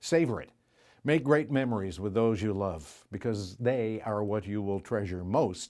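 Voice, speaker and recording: A man with an ordinary speaking voice talks at a moderate pace, with a fairly low pitch and ordinary pitch variation. The recording is very clean, with a silent background. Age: 60s. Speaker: graduate giving commencement speech. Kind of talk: commencement speech.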